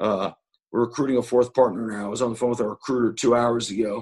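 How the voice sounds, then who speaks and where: A man with an unremarkable speaking voice talks at a fairly quick pace, his medium pitch following a fairly even intonation. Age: 40s. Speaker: investor and yeshiva alumnus speaking to students. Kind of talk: online interview talk.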